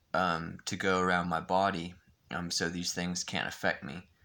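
A man speaks with a very deep, low pitch and some vocal fry. His tone is bright and sharp, and his pace is fairly slow. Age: 20s. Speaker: vlogger. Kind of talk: vlog monologue. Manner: halting, many fillers and repetitions. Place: home room. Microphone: phone near.

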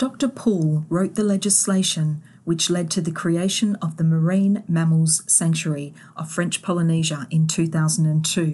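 Against a quiet background, a woman talks at a fairly slow pace in a fairly low pitch, somewhat breathy, with a dark, mellow tone and fairly even intonation. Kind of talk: scripted nature documentary narration. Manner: measured, warm, gently awed storytelling pace; clear, formal, polished delivery.

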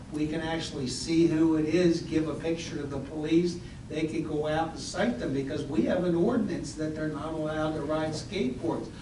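A man with a fairly high pitch talks at a fairly quick pace, with hardly any pauses and fairly even intonation. There is noticeable background noise and audible room echo. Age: 60s. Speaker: local official at council meeting. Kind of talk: public meeting discussion.

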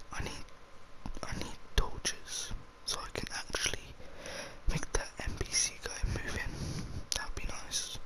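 Speaking at a fairly slow pace, a man leaves long, frequent pauses. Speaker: ASMR gaming YouTuber. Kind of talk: casual talk to camera while gaming. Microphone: studio mic.

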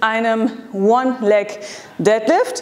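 A woman's voice with ordinary pitch variation. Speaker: fitness coach. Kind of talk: workout tutorial. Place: gym.

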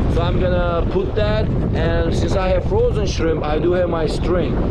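A man talks at a fairly slow pace while loud background noise fills the recording. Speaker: fishing vlogger. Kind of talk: casual vlog chat. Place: beach. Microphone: phone near.

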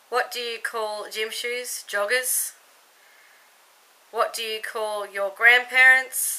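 A woman speaks with an Australian accent at a very slow pace. Her tone is bright and sharp, her intonation monotone and flat. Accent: Australian accent, noticeable. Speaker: YouTube vlogger. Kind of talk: casual vlog, accent tag. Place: home room. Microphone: webcam.

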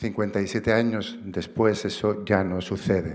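A fairly low-pitched male voice over a quiet background. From Barcelona, Catalonia. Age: 50s. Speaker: activist and writer, award recipient. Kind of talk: acceptance speech. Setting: stage with audience. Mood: earnest, reflective. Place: stage. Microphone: podium.

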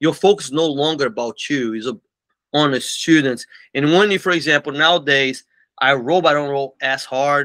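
Here a man speaks with a Portuguese accent. His voice is fairly high, with a bright, sharp tone. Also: quiet background. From Brazil, Belo Horizonte. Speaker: martial arts school owner. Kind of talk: interview. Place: office.

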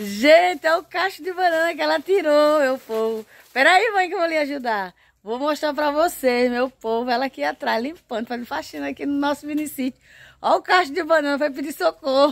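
Her voice high in pitch, a woman speaks at a moderate pace with lively intonation in a dry recording with no echo. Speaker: home vlogger. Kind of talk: casual vlog chat. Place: garden. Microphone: phone near.

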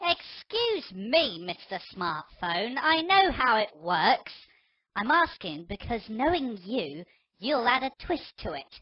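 A female-sounding put-on character voice, fairly high, with very wide pitch swings and a fairly slow pace. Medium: audio drama. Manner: grumpy, sarcastic; sing-song taunting while counting.

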